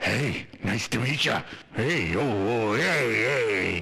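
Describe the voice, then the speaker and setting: A man's raspy put-on character voice at medium pitch and a very slow pace. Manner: flirty.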